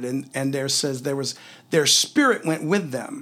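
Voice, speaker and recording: A man talks at a fairly slow pace in an ordinary speaking voice with ordinary pitch variation. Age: 50s. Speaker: podcast host teaching the Bible. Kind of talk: Bible teaching in a casual chat.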